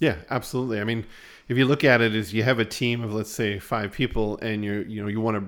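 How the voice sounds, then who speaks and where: Fairly quick delivery in an ordinary speaking voice, the pitch varying in an ordinary way. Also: man. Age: 40s. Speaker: podcast host, business marketing agency owner. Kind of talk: casual business chat.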